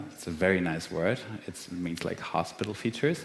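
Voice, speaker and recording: The speech moves at a moderate pace, with audible room echo. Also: man. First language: German. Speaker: physician researcher. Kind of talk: lecture.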